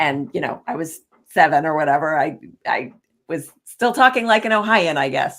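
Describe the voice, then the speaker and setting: A woman's very deep, low voice at a moderate pace, with very wide pitch swings. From US, moved often (Ohio, New York City). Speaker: leadership and executive coach. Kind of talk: casual interview chat.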